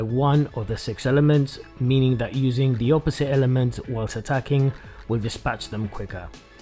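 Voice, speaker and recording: With music in the background, a man talks at a moderate pace in a medium pitch and fairly even intonation. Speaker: video game reviewer. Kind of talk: game review narration.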